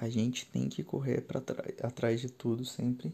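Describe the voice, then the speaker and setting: A man talks at a fairly slow pace in a dark, mellow tone. His voice is somewhat breathy, with fairly even intonation. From São Paulo city, Brazil. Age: 20s. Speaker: podcast host, IT worker. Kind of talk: solo podcast monologue. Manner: halting, with fillers.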